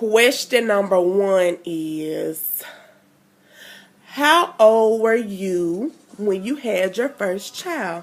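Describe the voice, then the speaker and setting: An American-accented woman with a medium pitch talks at a very slow pace, with lively intonation. Her long pauses come often, over noticeable background noise. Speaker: mommy vlogger. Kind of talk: casual vlog chat.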